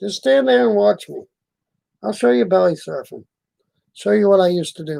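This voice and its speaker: Long, frequent pauses break up a man's speech, which has a dark, mellow tone, a fairly high pitch, very wide pitch swings and big swings in loudness. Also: moderate pace. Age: 60s. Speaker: live streamer. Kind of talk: casual chat. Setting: live stream. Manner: halting.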